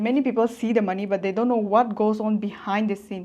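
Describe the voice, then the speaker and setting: Against a quiet background, a woman with an ordinary speaking voice speaks at a fairly high pitch with fairly even intonation. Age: 20s. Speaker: online business coach. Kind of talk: motivational vlog talk. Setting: self-filmed with phone front camera.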